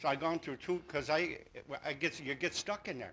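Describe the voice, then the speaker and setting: Loud and fairly quick, a man talks in a fairly high pitch with a bright, sharp tone and vocal fry. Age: 60s. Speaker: resident speaking at town meeting. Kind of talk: public comment at town meeting. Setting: town hall meeting. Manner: halting, many restarts.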